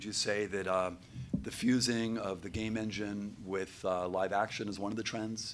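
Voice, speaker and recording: Talking at a moderate pace, a man speaks with a fairly low pitch in a plain, everyday voice. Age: 60s. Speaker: panel moderator. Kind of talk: panel discussion.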